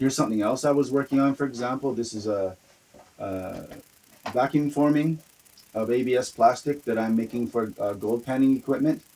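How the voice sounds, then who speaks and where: The speaker has a Canadian accent and talks at a fairly quick pace. Pitch variation is ordinary, and there is noticeable background noise. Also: man, medium pitch for a man. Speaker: hobbyist maker of spinning tops. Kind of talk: casual video introduction. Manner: halting, many fillers.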